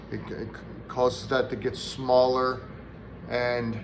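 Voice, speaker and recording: At a very slow pace, someone speaks with an American accent amid audible room echo. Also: man. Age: 60s. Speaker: firewood vlogger. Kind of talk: personal health talk to camera. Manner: casual, with frequent fillers.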